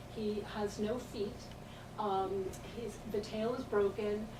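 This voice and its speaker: A woman with an American accent speaks with fairly even intonation. Room echo is audible, and background noise is noticeable. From United States. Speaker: visiting artist. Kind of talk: art talk / slide lecture. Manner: casual, conversational with hesitations.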